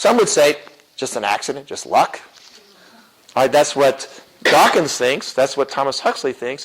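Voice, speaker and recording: This man's voice sits fairly high, with ordinary pitch variation. He leaves long, frequent pauses. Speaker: apologetics teacher and chemistry professor. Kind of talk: lecture. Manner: fast; animated.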